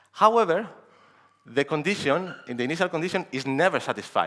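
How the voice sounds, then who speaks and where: Talking at a very fast pace, a man shows vocal fry and very wide pitch swings. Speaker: security researcher. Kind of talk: conference talk.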